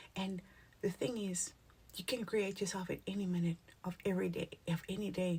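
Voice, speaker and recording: A woman's somewhat breathy voice sits at medium pitch with a dark, mellow tone. She leaves long, frequent pauses. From South Africa, Cape Town (Cape Flats). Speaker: spiritual content creator. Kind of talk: motivational talk to camera. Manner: animated, casual.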